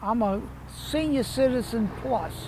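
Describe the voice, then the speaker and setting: A man with a south Louisiana accent speaks at a very slow pace. Audible room echo surrounds him. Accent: south Louisiana Southern US. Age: 80s+. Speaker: citrus farmer. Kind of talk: interview.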